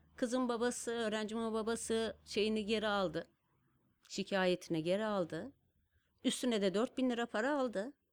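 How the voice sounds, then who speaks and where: In an ordinary speaking voice, a woman speaks at a fairly high pitch and moderate pace, with ordinary pitch variation and very even loudness, on a very clean recording with a silent background. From Turkey, Kars. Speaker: designer and stamp artist. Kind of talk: casual interview storytelling. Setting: studio.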